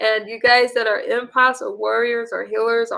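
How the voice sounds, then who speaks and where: The speaker is a woman. Her voice sits at a fairly high pitch. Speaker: livestream host / vlogger. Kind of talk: casual livestream chat reading comments. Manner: soft-spoken; hesitant, many fillers.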